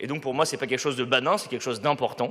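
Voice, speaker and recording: This man's voice sits fairly high and moves at a very fast pace. His intonation stays fairly even. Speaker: local councillor. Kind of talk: council debate reply. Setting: council chamber. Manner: loud; hesitant, many fillers.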